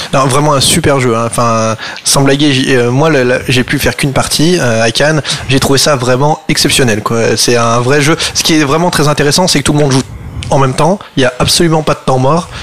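Against noticeable background noise, a man with a fairly high voice keeps a moderate pace, fairly even intonation and very even loudness. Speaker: radio host. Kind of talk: radio talk show. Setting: studio.

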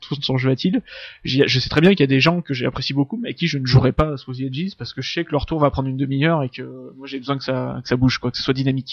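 Speaking at a very fast pace, a man uses a medium pitch and fairly even intonation. His loudness swings widely. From France, Drôme (Valence). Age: 30s. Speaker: board game designer. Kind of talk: casual interview.

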